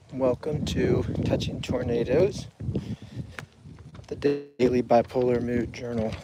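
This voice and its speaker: Over noticeable background noise, a man speaks at medium pitch and a fairly slow pace, with fairly even intonation and long, frequent pauses. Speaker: mental health vlogger. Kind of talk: personal video journal on a walk. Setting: outdoors on a walk. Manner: halting, hesitant.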